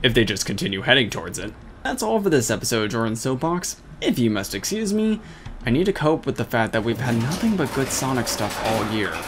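Amid noticeable background noise, a man talks at a fairly quick pace at a medium pitch, his pitch swinging very widely. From Russia. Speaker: gaming video commentator. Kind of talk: scripted commentary monologue.

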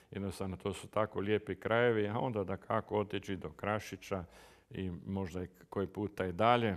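A man's fairly low, monotone voice with flat intonation at a moderate pace against a quiet background. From Croatia. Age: 70s. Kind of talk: interview. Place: home room.

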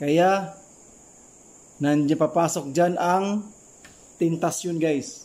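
A man's high-pitched voice with ordinary pitch variation at a very slow pace, broken by long, frequent pauses. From Philippines. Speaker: former overseas worker. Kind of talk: advice vlog. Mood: earnest, advising. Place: home room. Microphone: phone near.

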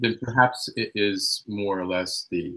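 Against near silence, a man talks at an even, middling rate. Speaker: seminar participant. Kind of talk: audience question. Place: home room. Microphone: video call.

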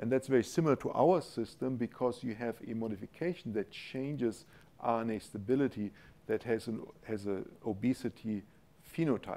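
Speaking with a German accent, a man has a dark, mellow tone. He goes at a moderate pace with ordinary pitch variation. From Germany. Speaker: university professor, molecular biochemist. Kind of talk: scientific lecture with Q&A. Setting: lecture hall with audience. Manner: informal, humorous. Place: hall.

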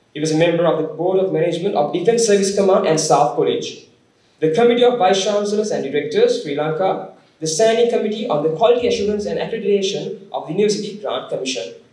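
A man talks at a very fast pace in a high pitch, with ordinary pitch variation. Audible room echo is present, though the background is quiet. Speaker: speaker. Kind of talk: formal speaker introduction. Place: hall. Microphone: podium.

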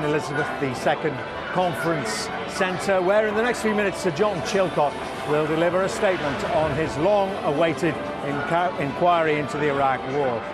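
A man's voice in a dry sound with no echo, with clear music in the background. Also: ordinary pitch variation, moderate pace. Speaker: TV news reporter. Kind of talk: live news report to camera. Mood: serious, measured. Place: street.

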